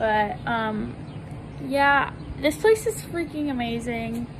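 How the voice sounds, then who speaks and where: A woman speaks over noticeable background noise. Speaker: vlogger. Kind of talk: casual vlog chat. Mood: excited, happy about new place. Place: street. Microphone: phone near.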